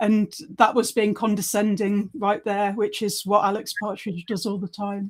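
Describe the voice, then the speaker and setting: A woman's medium-pitched voice moves at a moderate pace with monotone, flat intonation. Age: 40s. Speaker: podcast co-host. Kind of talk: casual chat. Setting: live stream.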